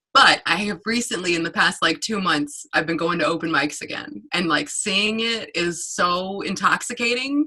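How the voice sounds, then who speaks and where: Speaking with an American accent, a woman keeps a moderate pace with hardly any pauses. Her intonation is lively, and background noise is noticeable. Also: medium pitch for a woman. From North Carolina. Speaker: stand-up comedian. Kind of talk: casual interview.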